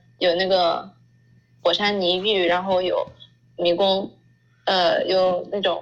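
A woman with a medium-pitched voice talks at a fairly slow pace. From China. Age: 20s. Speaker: working holiday traveler. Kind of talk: interview.

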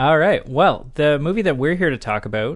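A man with an unremarkable speaking voice, fairly high in pitch, with lively intonation over a quiet background. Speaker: podcast host. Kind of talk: casual podcast chat about movies.

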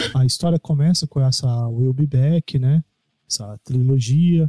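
A man talks at a fairly slow pace with a dark, mellow, somewhat breathy tone and ordinary pitch variation, recorded with a dry, close sound and no echo. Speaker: podcast co-host, music reviewer. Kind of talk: casual chat. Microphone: too far from the microphone, muffled.

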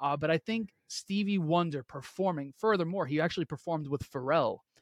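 With a New York accent, a man speaks at a fairly quick pace in a high pitch with ordinary pitch variation, recorded very cleanly with a silent background and a dry, close sound with no echo. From Queens, New York. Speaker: entrepreneur and brand coach. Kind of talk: podcast interview. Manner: animated.

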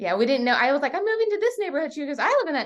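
A woman with an American accent, talking at a very fast pace. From Virginia, Portsmouth and York County. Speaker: realtor. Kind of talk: interview.

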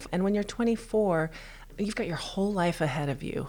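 With an American accent and an unremarkable speaking voice, a woman talks at a fairly quick pace. Her pitch is medium and her intonation lively. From Texas. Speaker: pastry chef and bakery owner. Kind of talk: interview. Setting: in person, same room.

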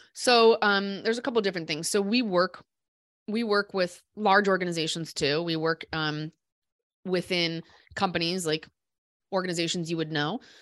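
Long, frequent pauses mark this woman's speech in a Midwestern US accent. The recording is very clean, with a silent background. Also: medium pitch for a woman, ordinary pitch variation, moderate pace. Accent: US Midwest. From Iowa, Des Moines. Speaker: business founder and CEO. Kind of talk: casual interview.

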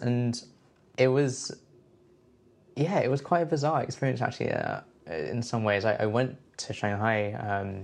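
A man's medium-pitched voice in a London accent, at a moderate pace with ordinary pitch variation. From London, England. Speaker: composer. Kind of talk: interview. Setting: at home. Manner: hesitant, many fillers.

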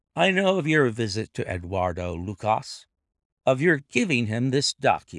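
With a quiet background behind it, the clip features a natural reading voice.

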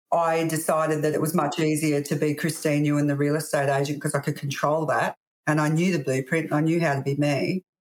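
Talking at a very fast pace, a woman with an Australian accent keeps a very deep, low pitch and monotone, flat intonation. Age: 50s. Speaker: real estate agency owner. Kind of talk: interview.

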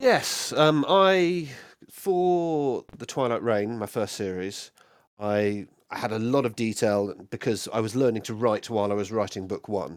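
With an unremarkable speaking voice, a man at medium pitch talks fairly slowly with lively intonation. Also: very clean recording, silent background. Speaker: fantasy author. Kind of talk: casual interview.

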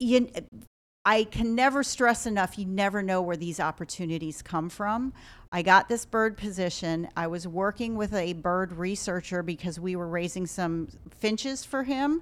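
In a very clean recording with a silent background, a woman with an unremarkable speaking voice talks at a moderate pace, her medium pitch showing ordinary variation. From Ohio. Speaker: wildlife hospital director. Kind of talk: casual interview.

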